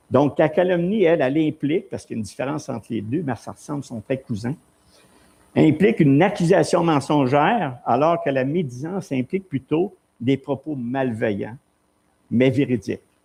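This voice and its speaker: A man with a Quebec accent speaks at a moderate pace in a dark, mellow tone. His fairly high pitch carries lively intonation. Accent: Québécois French. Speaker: pastor. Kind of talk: sermon. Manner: animated.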